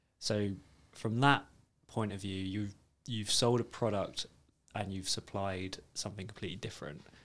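With a British accent, a man speaks at a moderate pace in a fairly low pitch, his intonation fairly even and his pauses long and frequent. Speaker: financial advisor, podcast co-host. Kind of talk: casual chat. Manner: joking, banter.

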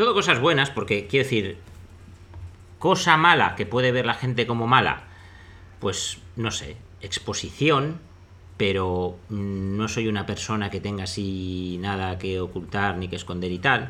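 Audible room echo surrounds a man speaking with a fairly low pitch and a bright, sharp tone. He goes at a fairly slow pace with long, frequent pauses. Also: lively intonation. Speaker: investor and podcast host. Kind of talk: casual chat.

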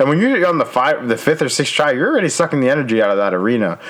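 Noticeable background noise sits behind a man's fairly high voice. His pitch swings very widely. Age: 20s. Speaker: podcast co-host. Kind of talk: casual chat. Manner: halting, many fillers and restarts.

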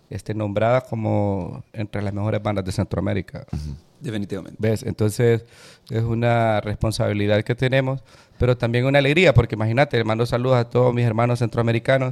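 A man talks at a fairly quick pace with ordinary pitch variation, in an unremarkable speaking voice. The sound is dry and close, with no echo. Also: medium pitch for a man. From Honduras. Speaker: musician and music producer. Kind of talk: casual chat.

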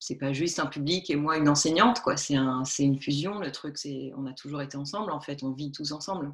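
A woman's very deep, low voice at a fairly quick pace, with hardly any pauses and ordinary pitch variation. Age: 40s. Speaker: textile artist. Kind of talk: interview. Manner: halting.

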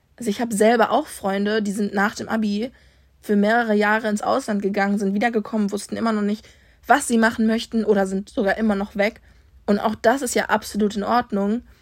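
In a very clean recording with a silent background, a woman with a fairly high pitch speaks at a fairly quick pace in a monotone, flat intonation. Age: 20s. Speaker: student podcaster. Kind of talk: casual monologue.

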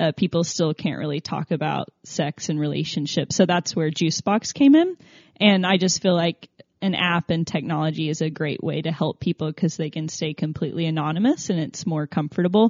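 A woman with a normal speaking voice and an American accent speaks fairly quickly at a fairly low pitch with ordinary pitch variation. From Tennessee, US South. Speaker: app founder. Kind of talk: interview.

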